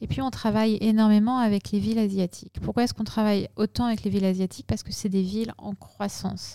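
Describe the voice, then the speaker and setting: A woman's medium-pitched, dark, mellow voice in a flat monotone, very fast with hardly any pauses, dry and close with no echo, on a very clean recording with a silent background. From northern France (Picardy, Lorraine). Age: 40s. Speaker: tech company executive. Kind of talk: interview.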